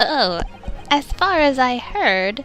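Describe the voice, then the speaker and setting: A woman performs a put-on character voice, pitched high with very wide swings. Clear music plays in the background. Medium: game stream. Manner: meek, hesitant.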